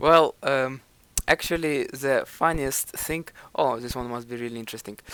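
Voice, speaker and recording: A man at medium pitch keeps a moderate pace and fairly even intonation, with big swings in loudness. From Ukraine. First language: Ukrainian. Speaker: self-improvement vlogger. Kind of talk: video commentary. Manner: hesitant.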